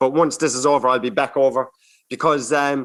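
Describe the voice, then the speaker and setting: A man speaks at a fairly quick pace. He has a strong Irish accent. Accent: strong regional Irish. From Ireland. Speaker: stand-up comedian.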